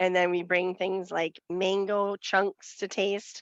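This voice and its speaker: Over a quiet background, a woman of medium pitch speaks at a very slow pace in a Western Wisconsin accent. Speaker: nutrition educator. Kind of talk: committee meeting report.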